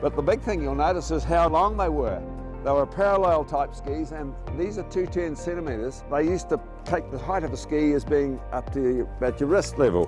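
Over clear music in the background, a man with a New Zealand accent talks at a fairly quick pace, the sound dry with no echo. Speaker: former ski instructor and tourism manager. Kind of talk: reminiscing interview answer. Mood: warm, nostalgic, good-humoured. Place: garden.

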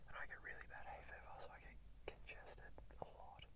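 Whispering and soft-spoken, a man talks at a fairly quick pace over loud background noise. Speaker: vlogger. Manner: soft ASMR whisper, congested. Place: car. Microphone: phone near.

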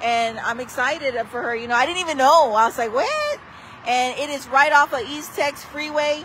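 A woman's high voice with ordinary pitch variation at a moderate pace, dry sound with no echo and light background noise. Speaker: local social media host. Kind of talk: casual vlog chat. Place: street. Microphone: phone near.

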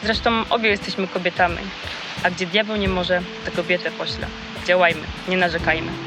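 Very fast pace with long, frequent pauses and fairly even intonation, over music in the background. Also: woman, medium pitch for a woman. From southern Poland. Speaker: local election candidate. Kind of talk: campaign speech. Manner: formal.

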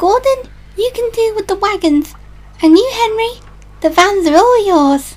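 A female-sounding voice does a put-on character at an extremely high pitch and moderate pace, with long, frequent pauses and light background noise. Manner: eager, a bit bossy.

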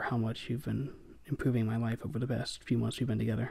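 Somewhat breathy, a man with a dark, mellow tone and medium pitch speaks at a fairly quick pace with ordinary pitch variation. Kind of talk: ASMR roleplay boyfriend script. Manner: shy, flustered, stammering.

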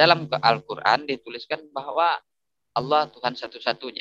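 A man speaks at a moderate pace with fairly even intonation and a bright, sharp tone. The sound is dry with no echo, and there is light background noise. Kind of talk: religious discussion. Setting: video call. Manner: polite. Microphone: video call.

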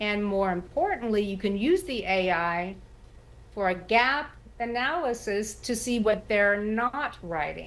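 Her pitch is medium for a woman, with ordinary variation. She speaks at a fairly slow pace. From Texas. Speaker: writer and former journalist; former journalist. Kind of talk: TV interview. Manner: halting. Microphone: video call.

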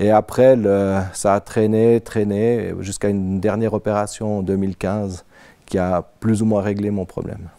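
A man's fairly low, dark, mellow voice at a fairly slow pace, monotone and flat in intonation, over a quiet background. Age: 50s. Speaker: IT worker, insurance surveillance victim; interviewee. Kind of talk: personal testimony; interview answer. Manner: hesitant, with frequent fillers. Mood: calm, serious. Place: home room. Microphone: lapel.

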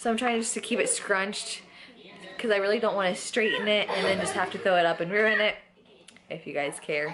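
Noticeable background noise surrounds a woman talking at a fairly quick pace. Her pitch variation is ordinary. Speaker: parent vlogger. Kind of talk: casual vlog chat. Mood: cheerful, chatty. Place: home room. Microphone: phone near.

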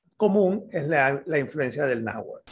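Lively, rising-and-falling intonation from a man. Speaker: language expert. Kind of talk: interview answer. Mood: calm explanatory. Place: home room. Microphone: video call.

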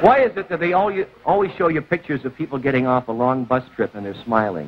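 Over light background noise, a man talks at a very fast pace with very wide pitch swings. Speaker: TV show host. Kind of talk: stand-up monologue on a TV talk show, with a studio audience. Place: studio.

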